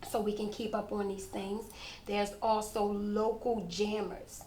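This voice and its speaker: Audible room echo surrounds a woman speaking at a fairly slow pace in a medium pitch. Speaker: fitness instructor. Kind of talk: interview. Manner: casual, conversational.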